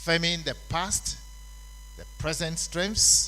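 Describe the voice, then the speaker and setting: The man's pace is on the slow side. His voice carries an audible echo from the room. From Ghana. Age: 70s. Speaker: conference speaker on labour law. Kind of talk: conference speech.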